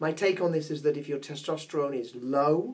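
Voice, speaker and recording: A man's pitch varies in an ordinary way as he talks at a moderate speed. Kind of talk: health explainer talk to camera. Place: office.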